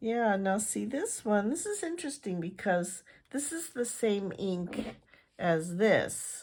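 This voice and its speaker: Speaking at a very slow pace, a woman uses a fairly high pitch with very wide pitch swings and a somewhat breathy sound. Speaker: fountain pen reviewer. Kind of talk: product review. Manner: casual, hesitant with fillers.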